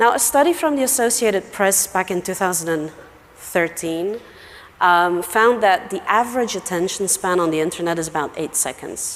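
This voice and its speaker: With noticeable background noise behind her, a woman talks at a moderate pace and a medium pitch. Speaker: email marketing expert, conference speaker. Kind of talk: conference talk.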